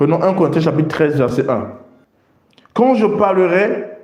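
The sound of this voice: A man with a high pitch and a slightly mellow tone, ordinary pitch variation, in strong room echo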